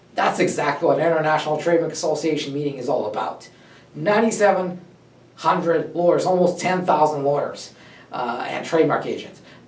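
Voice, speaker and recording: Amid noticeable background noise, a man with a fairly high pitch speaks at a fairly quick pace. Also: ordinary pitch variation. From Russia. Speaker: trademark lawyer, company founder. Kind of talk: personal story talk to camera.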